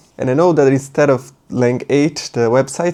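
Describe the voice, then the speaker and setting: Moderate pace with a Portuguese accent. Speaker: Japanese language teacher. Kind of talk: tutorial. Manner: casual, thinking aloud.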